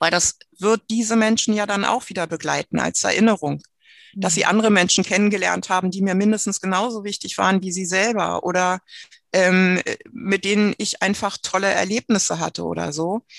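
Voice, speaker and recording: In a normal speaking voice, a woman speaks at a medium pitch and moderate pace with fairly even intonation, in a dry, close sound with no echo against a quiet background. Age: 50s. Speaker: trained nurse with terminal breast cancer. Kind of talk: personal testimony in interview.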